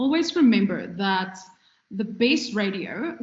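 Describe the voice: The speech moves at a fairly slow pace with audible room echo. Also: woman.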